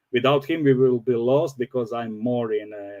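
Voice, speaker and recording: A man speaks in a non-native accent, his pitch sitting at a medium level. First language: not English. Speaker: crypto project developer, former pilot. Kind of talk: interview. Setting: livestream. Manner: halting.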